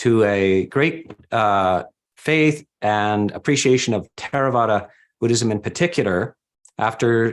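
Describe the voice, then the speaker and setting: A man with a medium-pitched voice and ordinary pitch variation speaks against a quiet background. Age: 60s. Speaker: Buddhist monk. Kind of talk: speech at book launch. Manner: halting.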